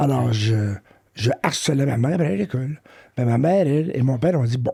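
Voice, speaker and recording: At a fairly quick pace and with very even loudness, the speaker talks in a Quebec accent with ordinary pitch variation. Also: man, medium pitch for a man. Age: 60s. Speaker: professor of education. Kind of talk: interview testimony. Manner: hesitant, many fillers.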